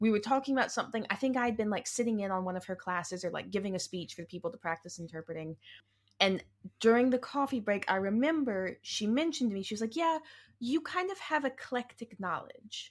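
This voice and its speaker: Very fast, animated speech with lively intonation on a very clean recording with a silent background. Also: woman, fairly high pitch for a woman. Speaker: podcast co-host. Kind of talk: casual chat podcast. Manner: animated, joking, interrupts playfully.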